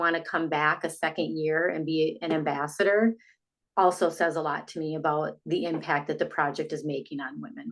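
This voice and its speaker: In a normal speaking voice, a woman talks at a moderate pace with a fairly low pitch and ordinary pitch variation against a quiet background. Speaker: sound therapy business founder. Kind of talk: casual interview.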